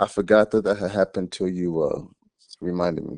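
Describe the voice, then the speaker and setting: A man with an American accent speaks at a very deep, low pitch and a fairly quick pace, with fairly even intonation and a dark, mellow tone. The sound is dry and close with no echo, against a quiet background. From US South, Georgia (Gwinnett County, Atlanta). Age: 30s. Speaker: musician and actor. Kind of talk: interview conversation.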